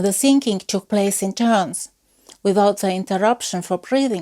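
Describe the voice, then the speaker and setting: With an Estonian accent and lively intonation, a woman speaks at a medium pitch in a dry, close sound with no echo, on a very clean recording with a silent background. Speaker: folklore researcher. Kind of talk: lecture. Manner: formal.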